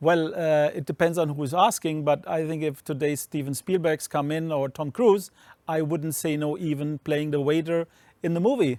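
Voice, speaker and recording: A man with a German accent talks at a moderate pace. His pitch is fairly high and his intonation fairly even. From Germany. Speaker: streaming company co-founder. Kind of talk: interview.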